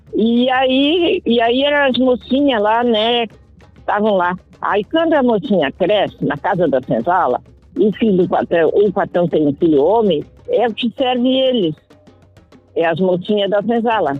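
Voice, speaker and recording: Against music in the background, a woman talks at a fairly slow pace. Her fairly high voice makes very wide pitch swings. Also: very even loudness. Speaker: adult literacy student. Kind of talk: interview answer.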